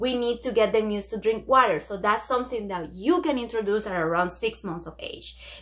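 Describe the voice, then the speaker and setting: A woman's fairly high, bright, sharp voice at a moderate pace on a very clean recording with a silent background. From Dominican Republic. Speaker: pediatrician. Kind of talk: educational talk to camera. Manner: hesitant, many fillers.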